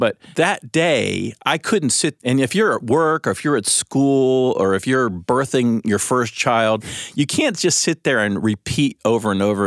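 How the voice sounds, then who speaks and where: A man's unremarkable speaking voice with lively intonation at a moderate pace, dry and close with no echo, on a very clean recording with a silent background. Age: 50s. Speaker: lead pastor. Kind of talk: casual chat.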